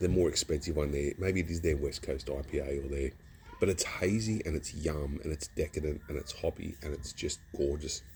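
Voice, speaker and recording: In an Australian accent, a man with a very deep, low pitch speaks at a fairly quick pace with ordinary pitch variation. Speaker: beer reviewer. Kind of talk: casual review vlog. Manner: casual, rambling with false starts.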